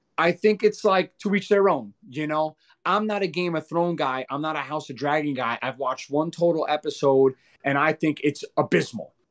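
A man's plain, everyday voice, with ordinary pitch variation at a moderate pace. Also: fairly high pitch for a man, very clean recording, silent background. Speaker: podcast host. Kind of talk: casual chat.

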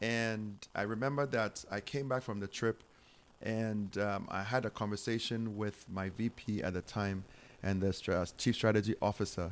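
The speaker has a Ghanaian accent and fairly even intonation. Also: man, fairly low pitch for a man, moderate pace. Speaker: charity founder and minister. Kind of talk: interview. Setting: home studio.

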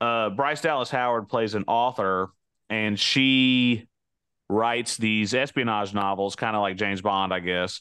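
A normal speaking voice from a man, medium in pitch, moderate in pace, with ordinary pitch variation. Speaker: podcast co-host. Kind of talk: casual chat. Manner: laughs often, teasing.

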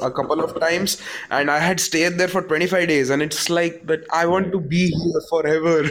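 A man talks at a moderate pace, noticeable background noise running underneath. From India, remote area. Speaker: podcaster, caller. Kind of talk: casual chat. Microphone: poor sound.

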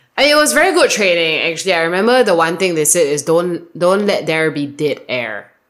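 A Singaporean accent at a fairly quick clip, with very wide pitch swings and hardly any pauses. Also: woman, fairly low pitch for a woman. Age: 30s. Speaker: marketing manager. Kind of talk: casual chat. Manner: varied intonation.

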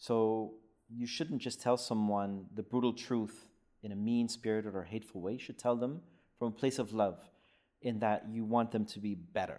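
In a very clean recording with a silent background, a man with a dark, mellow tone speaks at a moderate pace with fairly even intonation. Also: medium pitch for a man. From Netherlands. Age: 30s. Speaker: podcast guest. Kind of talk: casual chat.

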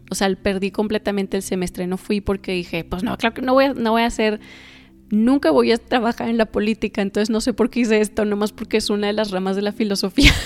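A woman speaks in a northern Mexican accent at a fairly quick pace. Her medium pitch holds fairly even intonation. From northern Mexico (Torreón). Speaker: spiritual podcaster. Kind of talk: personal storytelling monologue. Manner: casual, hesitant with fillers.

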